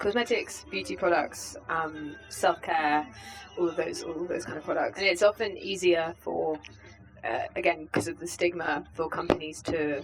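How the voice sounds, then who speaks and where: A woman with a British accent, fairly low pitch, lively intonation and a moderate pace, with music in the background. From UK. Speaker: vegan organisation campaigns head. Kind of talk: interview. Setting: festival.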